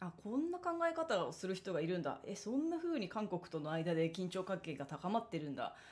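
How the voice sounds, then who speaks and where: Very wide pitch swings at a fairly quick pace with hardly any pauses. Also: woman, medium pitch for a woman. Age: 30s. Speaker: solo talk show host, former magazine editor; solo talk show host. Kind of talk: solo monologue talk. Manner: casual, chatty with many fillers. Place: home room. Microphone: studio mic.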